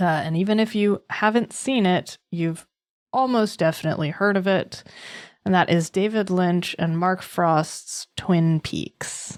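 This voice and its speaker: At a fairly slow pace, a woman talks in a normal speaking voice with ordinary pitch variation, recorded very cleanly against a silent background. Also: medium pitch for a woman. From US East Coast. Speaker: podcast co-host. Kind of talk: podcast episode intro; casual chat.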